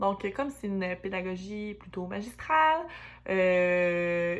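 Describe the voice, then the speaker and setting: This is a woman speaking with a Quebec accent. Her pitch varies in an ordinary way. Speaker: student teacher. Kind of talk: class presentation. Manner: hesitant, many fillers.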